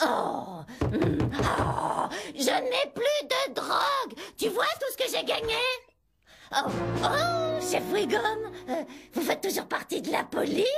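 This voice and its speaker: In a put-on character voice, a woman speaks with an extremely high, raspy pitch that swings very widely, at a fairly slow pace over faint background music. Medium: fan dub. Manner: flustered, evasive.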